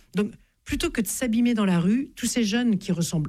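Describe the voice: A woman is speaking. Her tone is dark and mellow.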